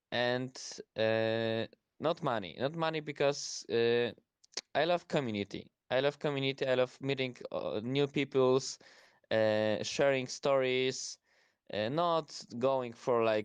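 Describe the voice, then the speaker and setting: Man with a Polish accent at a very slow pace, long, frequent pauses, ordinary pitch variation and very even loudness, with a dry, close sound, no echo and a quiet background. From Poland. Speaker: student. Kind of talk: casual chat. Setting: online audio space. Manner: halting.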